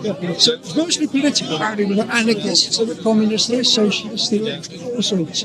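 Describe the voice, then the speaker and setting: Against crowd noise in the background and audible room echo, a man talks at a fairly quick pace with hardly any pauses, his high voice showing ordinary pitch variation. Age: 80s+. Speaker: communist debater at a public speaking corner. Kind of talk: street debate. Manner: halting, repeats words.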